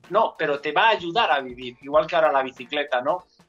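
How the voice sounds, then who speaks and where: A man speaks with music in the background. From Enguera, Valencia region, Spain. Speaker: amateur cyclist, former basketball player. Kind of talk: casual chat.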